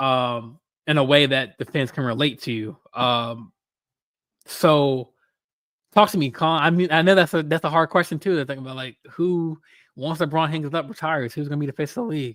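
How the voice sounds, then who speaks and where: An ordinary speaking voice at a fairly quick pace with ordinary pitch variation, in a very clean recording with a silent background and a dry, close sound with no echo. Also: man, fairly high pitch for a man. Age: 20s. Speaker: podcast host. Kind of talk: casual chat. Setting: live stream.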